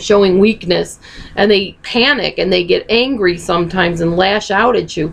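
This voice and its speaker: A woman's medium-pitched voice moves at a moderate speed, its pitch varying in an ordinary way, with noticeable noise in the background. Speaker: video blogger on narcissistic abuse. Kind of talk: casual Q&A video talk.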